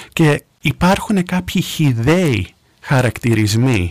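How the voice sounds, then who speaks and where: The dry, close sound with no echo carries a man's voice with ordinary pitch variation. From US, New York. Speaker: radio contributor. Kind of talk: radio discussion.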